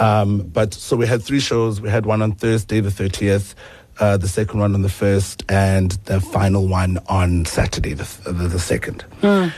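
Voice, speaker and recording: The speech moves at a fairly slow pace with fairly even intonation. Background noise is noticeable. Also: man. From South Africa, Eastern Cape. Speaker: singer-songwriter. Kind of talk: radio interview. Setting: radio studio.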